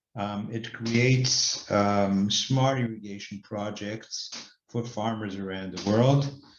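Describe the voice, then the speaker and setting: A man speaks at medium pitch with fairly even intonation. Audible room echo surrounds his voice. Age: 60s. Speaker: company director and investment banker. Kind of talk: interview monologue. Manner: hesitant, many fillers.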